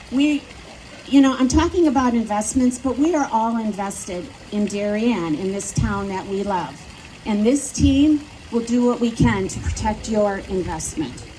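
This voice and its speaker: The speaker has a Midwestern accent and lively intonation. Background noise is noticeable. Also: woman, fairly high pitch for a woman, moderate pace. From US Midwest, Wisconsin. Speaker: local politician. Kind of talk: campaign speech. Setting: outdoors at plaza with audience.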